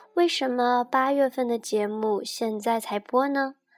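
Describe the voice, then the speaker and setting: A woman talks at a very slow pace in a high pitch. Music plays in the background. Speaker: astrology radio host. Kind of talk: scripted narration.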